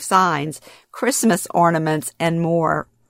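In a Louisiana accent, a woman speaks at a very slow pace, the sound dry and close with no echo on a very clean recording with a silent background. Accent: US Southern (Louisiana). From Louisiana, Baton Rouge area. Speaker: podcast host and author. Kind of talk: narrated personal storytelling.

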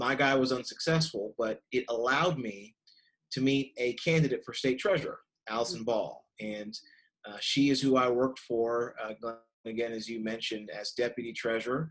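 A man speaks at a moderate pace and medium pitch with ordinary pitch variation, in an unremarkable speaking voice. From Kentucky, US (raised from age six; Nigerian immigrant parents). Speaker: college association president, former state official. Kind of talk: podcast interview. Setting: remote recording from home.

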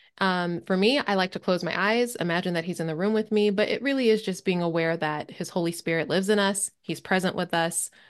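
A woman with an American accent and an unremarkable speaking voice, fairly low in pitch, with ordinary pitch variation, at a moderate pace against a quiet background. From Maryland, US. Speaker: podcast host and prophetic listening teacher. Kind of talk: casual interview chat. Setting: call.

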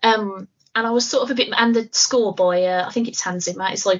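With a British accent, a woman talks at a moderate pace. Her fairly high pitch has fairly even intonation. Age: 30s. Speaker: podcast co-host. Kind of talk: casual chat.

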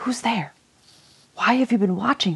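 A hissing, put-on character voice, female-sounding, at a moderate pace. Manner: hissing, suspicious.

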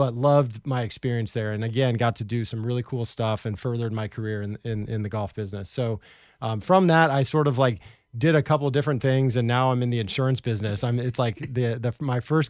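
Very clean recording, silent background. A man with a West Coast accent speaks fairly quickly at medium pitch with ordinary pitch variation. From Portland, Oregon. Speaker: podcast co-host, former golf professional. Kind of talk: casual chat.

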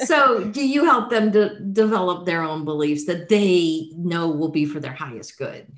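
On a very clean recording with a silent background, a woman with a plain, everyday voice and an American accent speaks at a moderate pace with hardly any pauses, her fairly low pitch carried by lively intonation. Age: 60s. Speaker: podcast host. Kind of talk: interview.

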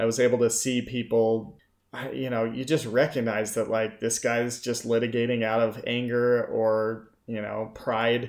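Speaking at a fairly slow pace with an American accent, a man of medium pitch keeps a monotone, flat intonation on a very clean recording with a silent background. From Utah, Salt Lake City. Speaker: former attorney in addiction recovery. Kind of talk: casual chat.

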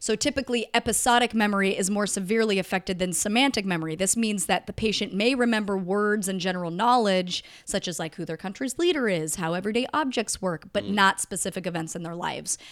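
On a very clean recording with a silent background, a woman at medium pitch speaks at a very fast pace with ordinary pitch variation and hardly any pauses. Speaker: podcast co-host. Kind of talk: casual chat.

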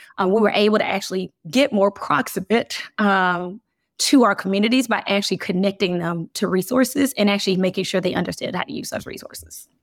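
The recording is very clean, with a silent background and a dry, close sound with no echo, as a woman with an American accent and an unremarkable speaking voice talks at a fairly quick pace in a medium pitch. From US South, Birmingham, Alabama. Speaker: business executive. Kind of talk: interview.

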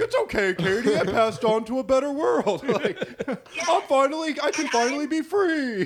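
A put-on character voice from a man, pitched extremely high, at a moderate pace over clear background noise. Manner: mock soothing, playful.

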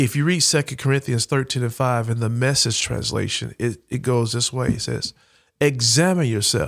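The recording is very clean, with a silent background. A man with a Southern US accent speaks at a moderate pace in a medium pitch with ordinary pitch variation. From Alabama, Huntsville. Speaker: military veteran and education nonprofit founder. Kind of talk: podcast interview.

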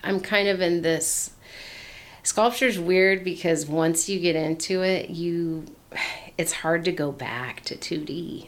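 A woman with an American accent, fairly low in pitch, at a very slow pace with fairly even intonation. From US Pacific Northwest (Portland, Oregon). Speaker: artist and creative outreach facilitator. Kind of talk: casual interview.

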